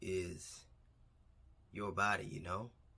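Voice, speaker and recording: A soft-spoken man with a fairly low voice and a bright, sharp tone speaks at a fairly slow pace with fairly even intonation. The recording is very clean, with a silent background. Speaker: vlogger. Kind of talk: casual vlog monologue. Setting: alone in a quiet room. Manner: speaking a little louder than usual.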